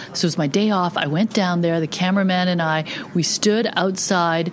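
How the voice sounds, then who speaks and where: The intonation stays fairly even. Noticeable background noise is present. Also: woman. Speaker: news reporter. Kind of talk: casual recounting of stories.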